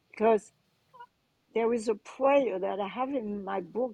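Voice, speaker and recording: Dry and close with no echo, a woman's dark, mellow voice carries a French accent and ordinary pitch variation. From France, Cannes. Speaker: transformation coach and author. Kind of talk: interview.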